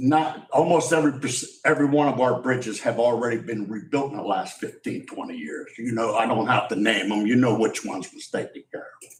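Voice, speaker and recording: A man with a medium pitch speaks with audible room echo. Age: 60s. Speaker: member of the public at public comment. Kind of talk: public comment at council meeting. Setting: county commissioners' meeting. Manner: halting, repetitive.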